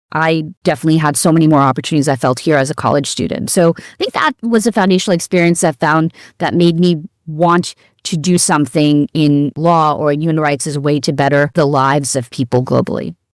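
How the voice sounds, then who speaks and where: This woman has a New York accent. Her pitch is very deep and low. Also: ordinary pitch variation, fairly quick pace. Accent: American (New York). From New York City, US. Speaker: law professor. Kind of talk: interview.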